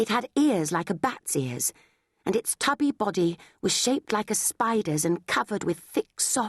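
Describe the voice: Plain reading aloud plays out with quiet all around.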